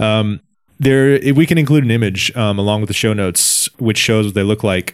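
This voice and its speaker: A man with an unremarkable speaking voice at a fairly quick pace. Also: very clean recording, silent background. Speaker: podcast host. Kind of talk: casual chat. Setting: lives in China.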